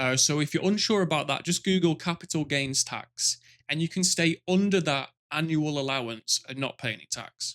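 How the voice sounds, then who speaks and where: A man with a British accent, fairly high in pitch with ordinary variation, at a moderate pace, on a very clean, silent recording that sounds dry and close with no echo. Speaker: finance YouTuber. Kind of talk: product review monologue. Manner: animated.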